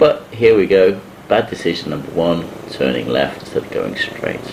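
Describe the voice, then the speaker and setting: A man with a British accent against noticeable background noise. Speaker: motorcycle vlogger. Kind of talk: voiceover narration of a ride vlog.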